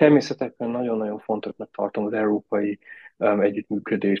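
A man's medium-pitched voice keeps fairly even intonation as he talks at a moderate pace. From Austria (raised abroad, schooled in Austria). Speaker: tourism innovation director. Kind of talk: interview. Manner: halting, many fillers.

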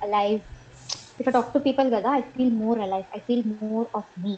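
With an Indian accent, a woman speaks at a fairly high pitch. Her intonation is fairly even. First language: Telugu. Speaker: podcast guest. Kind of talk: casual interview chat.

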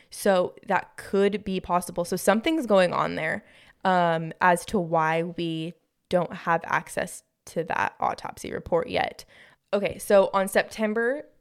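A woman with a plain, everyday voice speaks at a fairly slow pace and medium pitch, with ordinary pitch variation. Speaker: podcast co-host. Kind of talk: casual chat.

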